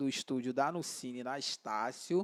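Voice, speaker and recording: A man speaks on a very clean recording with a silent background. The sound is dry and close, with no echo. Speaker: podcast host. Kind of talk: podcast intro. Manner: upbeat.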